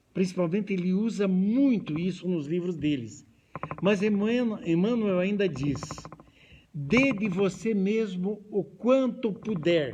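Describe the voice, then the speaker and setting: Very slow speech with ordinary pitch variation, audible room echo and noticeable background noise. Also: man, high pitch for a man. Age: 70s. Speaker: spiritist lecturer. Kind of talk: lecture. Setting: hall with audience, also streamed.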